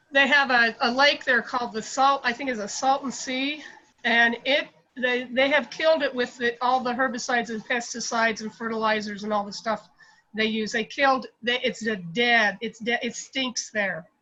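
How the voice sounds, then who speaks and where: Bright and sharp in tone, a woman with a high pitch speaks at a moderate pace with fairly even intonation. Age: 60s. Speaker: meeting participant. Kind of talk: testimony. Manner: halting.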